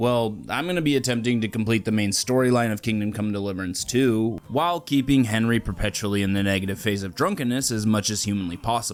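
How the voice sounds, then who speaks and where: A man talking at a very fast clip, hardly any pauses, ordinary pitch variation, noticeable noise behind him. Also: medium pitch for a man. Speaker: gaming YouTuber. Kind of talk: gameplay commentary narration. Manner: less animated than usual, closer to normal voice; casual.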